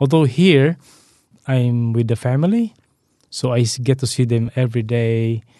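A man's medium-pitched voice with a dark, mellow tone, ordinary pitch variation and very even loudness, at a moderate pace with long, frequent pauses, in a dry, close sound with no echo. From Philippines. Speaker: electronics engineer and amateur runner. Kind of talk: casual interview chat. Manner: friendly, hesitant with fillers.

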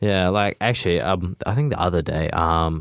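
At a moderate pace, the voice comes through with a dry, close sound and no echo. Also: man. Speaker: radio co-host. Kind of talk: casual interview chat. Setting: radio studio. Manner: casual, filler-heavy.

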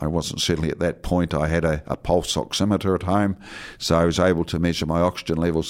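A man with a New Zealand accent speaks at a very deep, low pitch in a monotone, flat intonation. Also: very clean recording, silent background. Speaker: radio pharmacist. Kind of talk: health advice radio show. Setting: radio studio. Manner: hesitant, many fillers.

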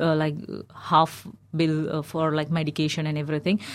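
A woman speaks at a moderate pace in an Indian accent. The recording is very clean, with a silent background. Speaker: recent finance graduate, migrant. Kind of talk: radio discussion. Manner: halting, many fillers.

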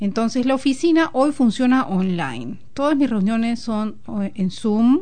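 Her voice has a dark, mellow tone and a fairly high pitch. The woman moves at a fairly slow pace with lively intonation. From Peru. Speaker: guest. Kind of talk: casual chat. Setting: studio.

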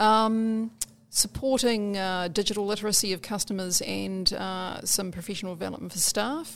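In a New Zealand accent, a woman speaks at a moderate pace and medium pitch with ordinary pitch variation, on a very clean recording with a silent background. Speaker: community librarian. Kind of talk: interview.

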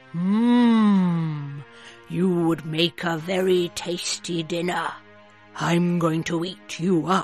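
A put-on character voice at middle pitch speaks at a very slow pace over clear music in the background. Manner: menacing, hungry.

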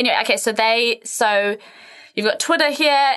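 A woman talks with a New Zealand accent. Her intonation is lively. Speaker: podcast co-host, women's health and fitness. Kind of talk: casual chat. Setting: studio.

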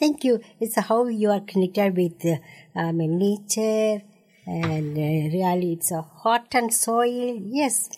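With an Indian accent and a dark, mellow tone, the speech moves at a very slow pace. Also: woman. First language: Tamil. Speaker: radio host. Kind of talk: radio interview. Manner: halting.

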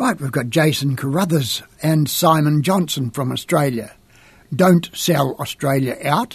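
A man speaks at a fairly slow pace in a somewhat breathy voice. His pitch sits fairly high, with ordinary variation. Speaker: radio host. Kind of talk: radio DJ patter, announcing tracks and artists. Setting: radio studio broadcast.

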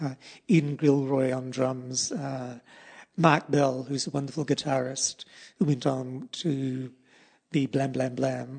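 Speech in a New Zealand accent comes at a very slow pace with flat, monotone intonation. The background is quiet. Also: man. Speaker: poet and artist. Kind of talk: casual interview.

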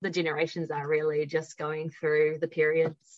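A woman with a New Zealand accent, a very deep, low pitch and a moderate pace. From New Zealand, Upper Hutt. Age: 20s. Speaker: university student. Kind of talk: casual chat.

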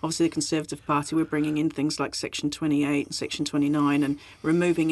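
Against a quiet background, a woman with a very deep, low pitch speaks very fast in a monotone, flat intonation. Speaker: radio host. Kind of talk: interview.

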